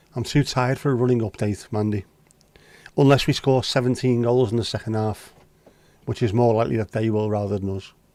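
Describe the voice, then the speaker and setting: A man's medium-pitched voice in a dark, mellow tone, fairly even in intonation, at a fairly quick pace broken by long, frequent pauses. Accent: Scouse. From Liverpool, England. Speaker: livestream host. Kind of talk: casual chat. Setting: livestream. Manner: casual, sweary.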